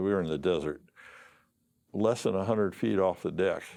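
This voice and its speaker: A man with an American accent, a fairly low pitch and a dark, mellow tone, ordinary pitch variation, over a quiet background. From Arizona, US Southwest. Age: 70s. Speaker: war veteran. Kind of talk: oral history interview. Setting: studio. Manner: halting, many fillers and repeats.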